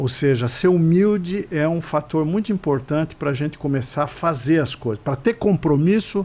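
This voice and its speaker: A man's fairly high voice, dark and mellow in tone, with hardly any pauses. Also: ordinary pitch variation, moderate pace. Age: 70s. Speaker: podcast co-host. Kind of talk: casual chat.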